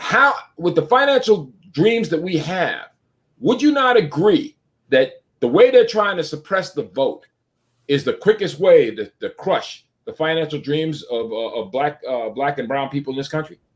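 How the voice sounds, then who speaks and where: A man with a high-pitched voice talks at a moderate pace. His pitch swings very widely. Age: 60s. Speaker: talk show host. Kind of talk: live online talk show.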